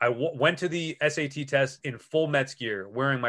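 A man speaks with a New York accent. His pitch moves in an ordinary way. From Long Island, New York. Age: 40s. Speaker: sports radio host. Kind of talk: casual chat. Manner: animated.

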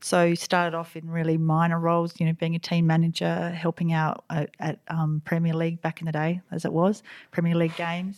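Fairly quick and flat in monotone, a woman's fairly low voice comes through on a very clean recording with a silent background. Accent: Australian. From South Australia (Riverland). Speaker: basketball club president. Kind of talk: interview. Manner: halting, many fillers and restarts.

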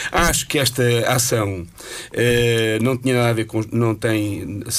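Noticeable background noise behind a male speaker at a medium pitch. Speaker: radio panelist. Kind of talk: casual chat.

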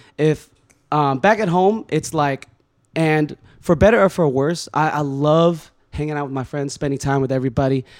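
In a very clean recording with a silent background, a man with a normal speaking voice and an American accent talks at a moderate pace, his fairly high pitch showing ordinary variation. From California. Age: 30s. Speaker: podcast guest. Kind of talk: casual chat.

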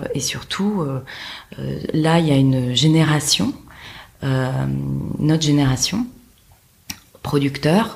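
Very slow speech with lively intonation, very even loudness and long, frequent pauses over noticeable background noise. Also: woman, very deep, low pitch for a woman. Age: 30s. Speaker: film producer. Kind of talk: interview conversation. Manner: halting, many hesitations.

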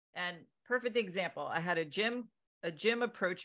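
This woman has an unremarkable speaking voice with an American accent and talks at a fairly quick pace. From Connecticut, US. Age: 40s. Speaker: fitness and men's health coach. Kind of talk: casual interview chat.

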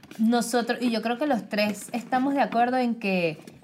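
The speaker is a woman. Her voice is fairly high. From Venezuela. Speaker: marketing worker. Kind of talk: casual chat.

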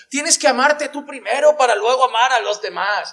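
The man's delivery is fairly slow. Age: 30s. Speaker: pastor. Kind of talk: sermon.

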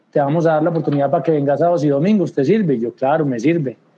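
A man with a plain, everyday voice, fairly high in pitch, with ordinary pitch variation. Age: 40s. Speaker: squash coach. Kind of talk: casual chat.

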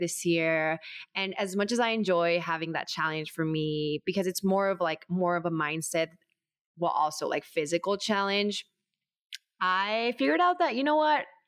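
A woman speaks with an American accent at a moderate pace and a fairly low pitch, with ordinary pitch variation. It is an ordinary speaking voice. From US, Mexican American. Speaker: artist and barre instructor. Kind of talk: casual chat.

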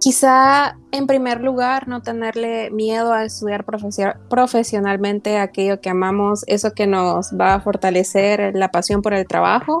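An ordinary speaking voice from a woman at medium pitch, fairly slow in pace with ordinary pitch variation, on a very clean recording with a silent background. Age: 20s. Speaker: student and small online business owner. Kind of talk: podcast interview.

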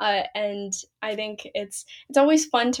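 A woman with an American accent speaks at medium pitch in an ordinary speaking voice. Her pitch variation is ordinary. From US Pacific Northwest, Seattle. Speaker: pageant title holder and college student. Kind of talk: interview.

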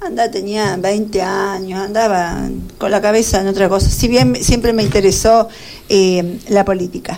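Over noticeable background noise, a woman of medium pitch speaks fairly slowly with ordinary pitch variation. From Argentina, Buenos Aires province (Carlos Casares). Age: 50s. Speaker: retired teacher and local politician. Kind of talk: radio interview.

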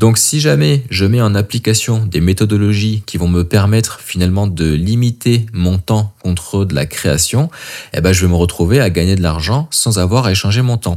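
A man's fairly low pitch shows ordinary pitch variation as he talks at a moderate pace. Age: 30s. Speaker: coach and podcast host. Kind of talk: solo podcast monologue. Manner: casual, with hesitations.

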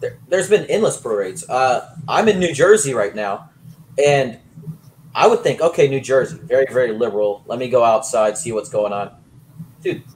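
Speaking at a moderate pace, a man with a medium pitch sounds somewhat breathy, his pitch swinging very widely. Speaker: guest sports and politics commentator. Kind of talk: casual opinionated chat on politics and sports. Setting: remote video call.

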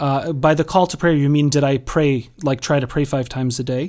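A man with an American accent speaks at a moderate pace and fairly high pitch. It is a plain, everyday voice. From Massachusetts, US. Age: 30s. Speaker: life coach and spiritual counselor. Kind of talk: casual interview.

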